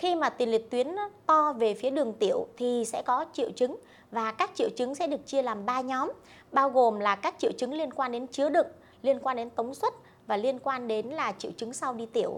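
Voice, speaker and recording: A woman speaks with a high voice and ordinary pitch variation. Her pace is fairly quick. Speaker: doctor. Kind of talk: medical Q&A. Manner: hesitant fillers.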